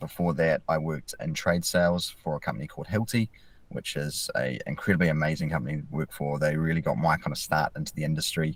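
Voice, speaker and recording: A man with a New Zealand accent talks at a very fast pace. His pitch is very deep and low, with ordinary variation. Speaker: mental health field officer. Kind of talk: podcast interview.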